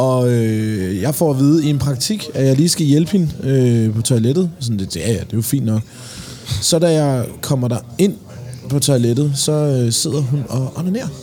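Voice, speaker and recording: Against noticeable background noise, a man talks at a fairly slow pace with lively intonation. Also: medium pitch for a man. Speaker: podcast host. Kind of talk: casual chat. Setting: pub.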